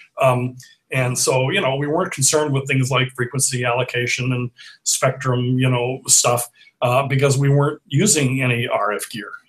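A man speaks at a moderate pace with fairly even intonation. His voice is somewhat breathy. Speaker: remote interview guest. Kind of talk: interview answer. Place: home room.

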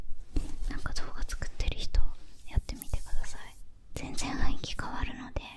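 Whispering, a woman talks at a fairly slow pace. Her words come out unhurried. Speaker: video creator. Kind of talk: casual vlog chat. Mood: cheerful, relaxed. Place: home room.

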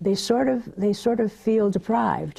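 A woman with an American accent speaks at a moderate pace in a somewhat breathy, dark, mellow tone with lively intonation against a quiet background. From Southern California. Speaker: media educator. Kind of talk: interview. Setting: TV studio. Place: studio. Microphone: lapel.

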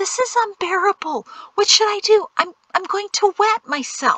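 In a put-on character voice, a woman speaks extremely high with a bright, sharp tone, lively intonation and a fairly slow pace, the sound dry and close with no echo.

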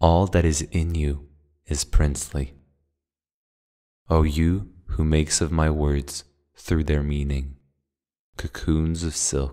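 Soft-spoken man with a very deep, low pitch and a dark, mellow tone, monotone and flat, at a very slow pace with long, frequent pauses. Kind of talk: poetry reading. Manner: soft-spoken, quiet.

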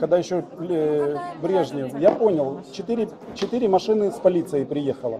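With crowd noise in the background, a man speaks at a moderate pace in a high voice with lively intonation. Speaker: off-road vlogger. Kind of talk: heated argument at police station. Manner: animated. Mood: earnest, slightly agitated. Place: office. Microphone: phone near.

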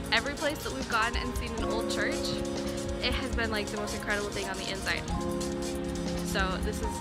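Loud music plays in the background while a woman talks at a very fast pace, the sound dry with no echo. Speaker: travel vlogger. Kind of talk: casual vlog chat. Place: street. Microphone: phone near.

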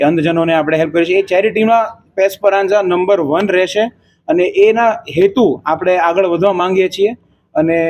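A man talks in a high pitch with fairly even intonation. His loudness stays very even. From India, Mumbai. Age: 20s. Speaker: restaurant owner and software engineer. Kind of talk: interview.

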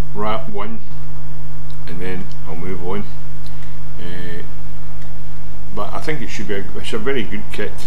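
With noticeable background noise behind him, a man talks at a moderate pace and leaves long, frequent pauses. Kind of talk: tutorial. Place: home room. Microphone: webcam.

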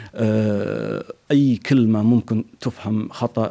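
A man with a Kuwaiti accent, fairly low in pitch, with a dark, mellow tone and fairly even intonation. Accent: Kuwaiti Gulf Arabic. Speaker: poet. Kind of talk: interview. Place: home room. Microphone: handheld.

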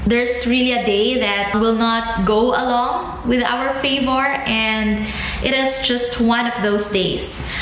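At a very slow pace, a woman speaks in a high pitch with fairly even intonation and very even loudness, with audible room echo and light background noise. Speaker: vlogger. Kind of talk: casual vlog chat. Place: home room. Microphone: phone near.

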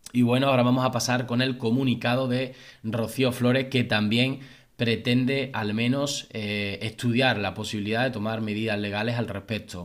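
A man at a moderate pace, flat and monotone, against a quiet background. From Spain. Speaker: YouTube gossip commentator; celebrity news youtuber. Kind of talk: casual video commentary. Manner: halting with many fillers. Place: home room.

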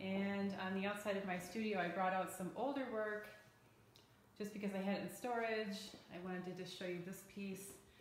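In monotone, flat intonation, a woman speaks at a moderate pace with audible room echo and light background noise. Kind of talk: casual vlog chat. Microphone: phone near.

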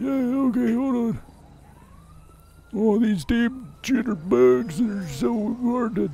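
Using a put-on character voice, a man speaks at a very slow pace and a high pitch, with long, frequent pauses. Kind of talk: comic overacting. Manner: cranky, confused, rambling.

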